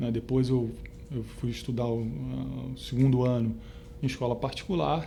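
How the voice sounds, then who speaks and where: A man with a Rio de Janeiro accent speaks at a fairly slow pace. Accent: carioca. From Rio de Janeiro, Brazil (São Cristóvão). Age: 50s. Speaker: retired stock exchange trader. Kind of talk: oral history interview. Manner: halting, many fillers.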